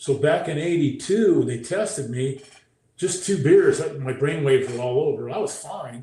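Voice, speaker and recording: A man at a moderate pace, with audible echo from the room. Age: 60s. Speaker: former pro football player, brain injury speaker. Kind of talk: interview testimony.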